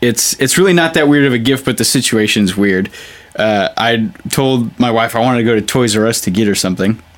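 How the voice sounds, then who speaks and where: In an American accent, a man with an unremarkable speaking voice talks at a fairly quick pace, medium-pitched, with ordinary pitch variation and very even loudness. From US West Coast, San Jose, California. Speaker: touring rock guitarist. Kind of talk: casual chat.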